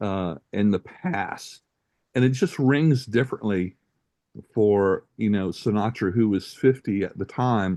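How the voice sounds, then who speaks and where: Fairly slow and fairly low, this man's voice has a dark, mellow tone. His pitch varies in an ordinary way, and the background is quiet. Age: 60s. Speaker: music podcast host. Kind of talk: casual chat. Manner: hesitant, with many fillers.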